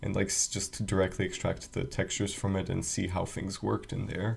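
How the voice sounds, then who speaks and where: Quiet and fairly quick, a man's voice carries vocal fry. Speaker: game developer, video creator. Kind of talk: casual screen-recorded walkthrough. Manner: quiet, hushed; hesitant, many fillers.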